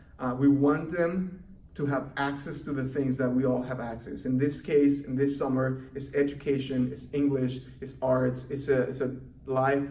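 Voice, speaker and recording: In a Mexican accent, a man speaks at a medium pitch and a moderate pace. His intonation is monotone and flat, and the room echo is audible. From Mexico City. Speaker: youth program coordinator. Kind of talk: recorded volunteer training presentation. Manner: halting, with many fillers.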